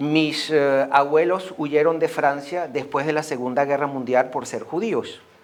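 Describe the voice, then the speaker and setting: Against noticeable background noise, a fairly high-pitched man talks at a moderate pace with fairly even intonation. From Venezuela. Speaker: association member, speaker. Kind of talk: school talk.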